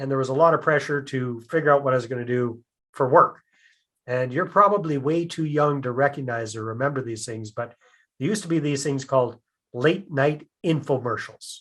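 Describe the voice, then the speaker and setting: A man with a Canadian accent and a plain, everyday voice, at a fairly quick pace with ordinary pitch variation, against a quiet background. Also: fairly high pitch for a man. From Canada. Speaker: real estate investor. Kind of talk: podcast interview.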